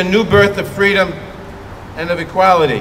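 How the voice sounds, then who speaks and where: Over noticeable background noise, a man with an American accent talks at a moderate pace, his intonation fairly even. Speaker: US congressman speaking at a vigil. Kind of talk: public speech at a memorial vigil.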